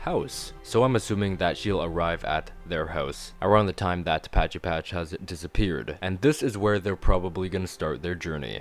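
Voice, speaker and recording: A man's very deep, low voice at a moderate pace over music in the background. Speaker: video reviewer. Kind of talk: casual talk to camera. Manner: enthusiastic.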